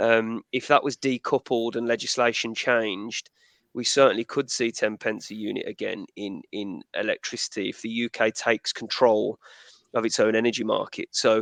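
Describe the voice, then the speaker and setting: The speaker has a Midlands accent and keeps a moderate pace. The sound is dry and close with no echo, over a quiet background. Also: man. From English Midlands, Birmingham. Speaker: energy expert. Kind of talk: webinar panel discussion.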